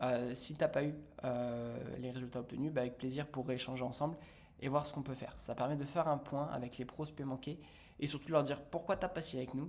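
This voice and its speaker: At a fairly quick pace, a man speaks in a fairly high voice. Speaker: business coach. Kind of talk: tutorial. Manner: fast; animated.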